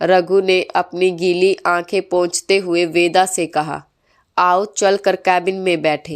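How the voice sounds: Against silence in the background, a natural reading voice comes through.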